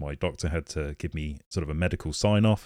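A man with a British accent at a moderate pace, in a very clean recording with a silent background and a dry, close sound with no echo. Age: 30s. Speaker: podcast host living with motor neurone disease. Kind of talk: casual monologue.

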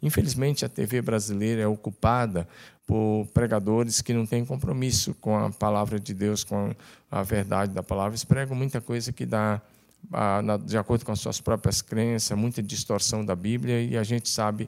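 A man speaks in a plain, everyday voice, fairly low in pitch, with ordinary pitch variation, at a moderate pace, on a very clean recording with a silent background. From Tocantins, Brazil. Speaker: pastor. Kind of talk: casual chat.

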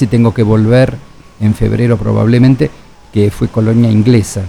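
A man at a medium pitch and fairly quick pace, with noticeable background noise. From Argentina. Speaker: biologist and humanitarian researcher. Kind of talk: radio interview.

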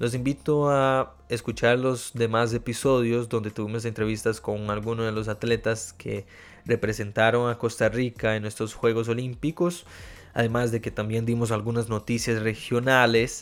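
A man with a Portuguese accent, medium pitch and flat, monotone intonation. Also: moderate pace. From Brazil. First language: Portuguese (speaking Spanish). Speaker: podcast host, journalist. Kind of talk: news reading; interview. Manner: hesitant with fillers.

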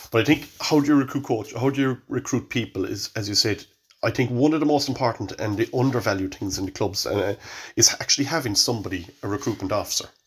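A man with a Cork accent talks very fast in a somewhat breathy, medium-pitched voice with ordinary pitch variation, on a very clean recording with a silent background. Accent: Cork Irish. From Ireland, Cork. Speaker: hurling coach. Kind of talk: casual chat.

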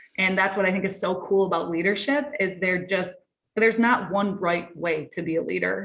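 A woman speaks with an American accent at a moderate pace. Her pitch is medium, with ordinary pitch variation. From Michigan, US Midwest. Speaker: college sports leadership director. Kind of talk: interview. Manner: animated.

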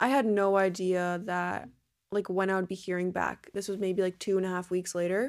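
Recorded very cleanly against a silent background, a woman with a plain, everyday voice and an American accent talks at a moderate pace and medium pitch with fairly even intonation. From New Jersey. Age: 20s. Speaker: exercise science student. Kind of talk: casual chat.

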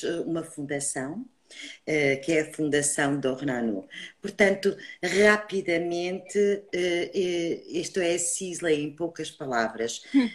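A woman's fairly low voice, with lively intonation, at a very slow pace. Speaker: beauty brand trainer. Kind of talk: online live beauty talk.

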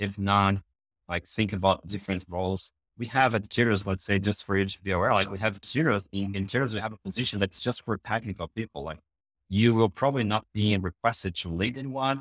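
Speaking fairly quickly with a Brazilian accent, a man keeps his intonation fairly even in a very clean recording with a silent background. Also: dry, close sound with no echo. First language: Portuguese. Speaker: EPM consulting director. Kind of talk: casual interview.

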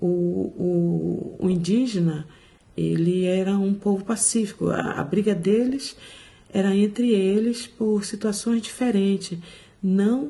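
A woman speaks at a very slow pace with medium pitch and ordinary pitch variation. Noticeable background noise runs underneath. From Brazil, Salvador (Bahia). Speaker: mental health social worker. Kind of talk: conversational interview.

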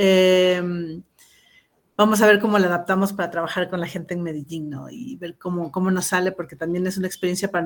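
A woman talks with an Ecuadorian accent and fairly even intonation. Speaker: geographer, activist collective member. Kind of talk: radio interview.

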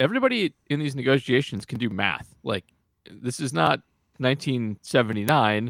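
In a very clean recording with a silent background and a dry, close sound with no echo, a man with an ordinary speaking voice talks at medium pitch, moderate pace and ordinary pitch variation. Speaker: podcast co-host. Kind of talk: casual podcast chat about baseball.

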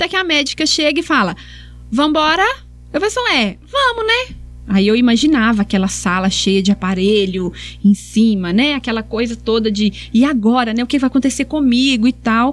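Noticeable background noise sits behind a woman's voice. She talks at a moderate pace with very even loudness. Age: 40s. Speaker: sports psychologist. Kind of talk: podcast interview, personal story.

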